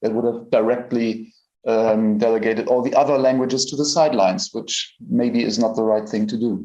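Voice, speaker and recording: Speaking with a German accent, a man uses a dark, mellow tone at a medium pitch, a moderate pace and fairly even intonation. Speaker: AI researcher. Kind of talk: conference presentation. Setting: stage at a conference.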